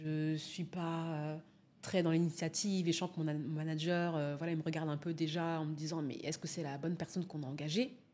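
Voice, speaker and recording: A woman's very deep, low voice, fairly quick, with fairly even intonation. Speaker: public speaking coach. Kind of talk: interview answer.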